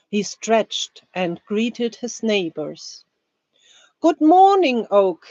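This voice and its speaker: A woman with a German accent speaks at a very slow pace in a medium pitch. Her pitch swings very widely. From Germany. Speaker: language teacher. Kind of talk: reading aloud; live stream chat. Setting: live stream.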